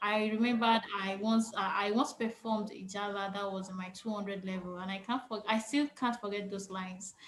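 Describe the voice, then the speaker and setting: A woman with a Yoruba accent talks at a fairly quick pace. Her intonation is monotone and flat, with noticeable background noise. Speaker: panel moderator. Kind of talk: moderated panel discussion. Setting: video call.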